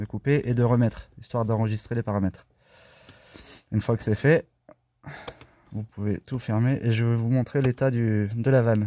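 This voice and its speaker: A man talks at a moderate pace in a medium-pitched voice with a dark, mellow tone and monotone, flat intonation. He pauses long and often, and the sound is dry and close with no echo. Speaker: car enthusiast doing own diagnostics. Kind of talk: casual screen-recorded car tutorial.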